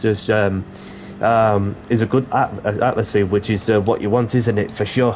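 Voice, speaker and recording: Amid noticeable background noise, a man talks at a moderate pace with a medium pitch. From Yorkshire. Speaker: gaming streamer. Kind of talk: live gameplay commentary. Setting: live stream. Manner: hesitant, many fillers.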